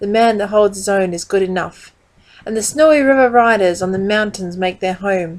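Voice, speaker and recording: An Australian-accented woman speaks at a moderate pace with lively intonation. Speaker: poetry reader. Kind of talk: reading aloud.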